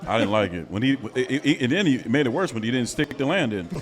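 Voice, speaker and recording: A man talks very fast, his intonation lively, with noticeable background noise behind him. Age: 40s. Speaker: podcast host. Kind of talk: casual chat.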